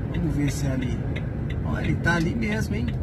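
A man's voice over loud background noise. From Brazil, São Paulo state interior (Campinas). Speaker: truck driver vlogger. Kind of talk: casual vlog chat. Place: car. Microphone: phone near.

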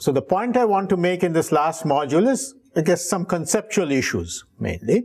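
Moderate pace from a man, quiet background. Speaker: professor. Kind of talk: lecture. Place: classroom.

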